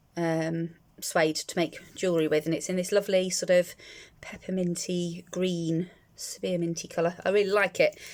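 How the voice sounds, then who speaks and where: Speaking with a British accent, a woman holds a fairly low pitch and fairly even intonation. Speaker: crafts YouTuber. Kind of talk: unboxing video. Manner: hesitant with many fillers; fast.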